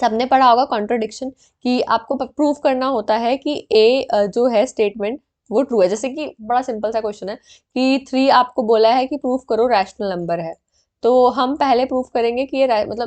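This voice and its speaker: The woman's voice is fairly high, with ordinary pitch variation and a moderate pace. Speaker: online exam-prep teacher. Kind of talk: tutorial. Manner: halting, frequent fillers.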